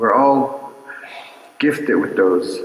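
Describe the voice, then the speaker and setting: A man with a Navajo Nation accent speaks at a very slow pace. His voice carries audible room echo. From Navajo Nation, US Southwest. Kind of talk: cultural teaching talk at a concert. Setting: stage with audience at a mission.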